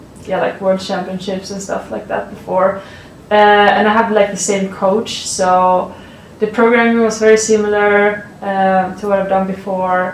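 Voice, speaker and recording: A woman's medium-pitched voice in a Swedish accent, fairly slow and monotone with flat intonation, amid audible room echo and noticeable background noise. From Sweden. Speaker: college athlete, shot putter. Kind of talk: interview answers. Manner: halting, many fillers.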